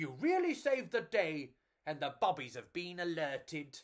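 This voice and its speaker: A man does a put-on character voice with a high pitch and very wide pitch swings. He speaks at a moderate pace. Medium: read story. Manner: loud, hearty.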